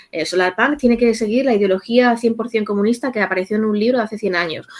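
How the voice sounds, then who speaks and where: A woman talks in a normal speaking voice, fairly quickly. Her pitch sits in the medium range and varies in an ordinary way. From Spain, Castilla-La Mancha (rural village). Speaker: psychologist. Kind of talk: interview.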